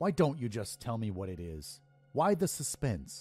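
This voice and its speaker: Growling in a put-on character voice, a man speaks at a moderate pace and medium pitch with very wide pitch swings, while faint music plays in the background. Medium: read story. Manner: curt, dismissive.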